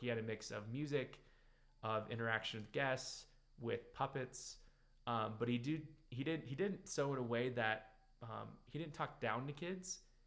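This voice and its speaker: A man speaks with an American accent at medium pitch. His pace is moderate and his pitch variation ordinary. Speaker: business coach show host. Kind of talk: casual monologue. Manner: hesitant, many fillers.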